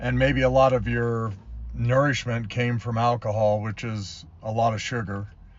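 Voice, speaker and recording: There is audible room echo as a man of medium pitch talks at a moderate pace with ordinary pitch variation. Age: 70s. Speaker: sobriety coach. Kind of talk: motivational talk to camera. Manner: casual, with many fillers.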